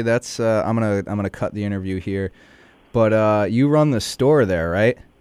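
A man speaks in a normal speaking voice at a medium pitch. His pace is moderate and his pitch varies in an ordinary way. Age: 20s. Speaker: interviewer. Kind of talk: casual interview.

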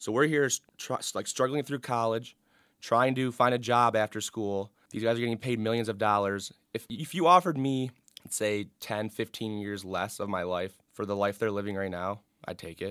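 A man with an American accent speaks at medium pitch and a moderate pace, in a plain, everyday voice with ordinary pitch variation. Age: 20s. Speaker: student sports editor. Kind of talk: casual chat. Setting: studio.

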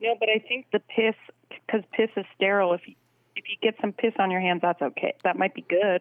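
At a fairly quick pace, a woman with an unremarkable speaking voice talks at medium pitch with ordinary pitch variation. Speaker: public health scientist. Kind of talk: phone conversation. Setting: phone call.

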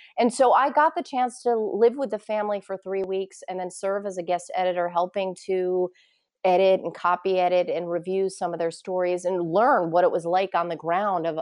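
A woman with a medium-pitched voice speaks at a moderate pace in an unremarkable speaking voice. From US Northeast, Poughkeepsie, New York. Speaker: independent journalist and journalism educator. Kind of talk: interview conversation.

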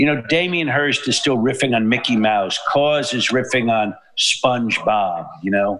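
A man with a New York accent, medium pitch and ordinary pitch variation, at a fairly slow pace with very even loudness and hardly any pauses. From New York City. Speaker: artist. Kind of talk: casual chat. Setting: studio. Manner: animated.

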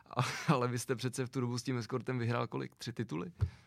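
This man talks at a very fast pace with a medium pitch and fairly even intonation. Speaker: podcast host. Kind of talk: interview.

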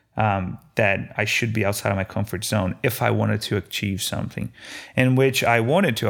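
In a very clean recording with a silent background, a man with a slight Brazilian accent speaks at a moderate pace, his intonation fairly even. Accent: light Brazilian Portuguese accent in English. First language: Portuguese. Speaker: food truck owner. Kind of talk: interview storytelling. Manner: halting, with frequent repetitions.

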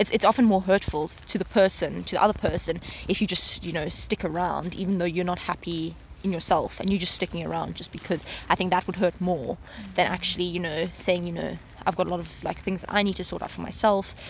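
A woman's fairly low voice at a very fast pace with fairly even intonation. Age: 20s. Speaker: master's student. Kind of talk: casual interview. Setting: outdoors walking in a park. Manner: halting.

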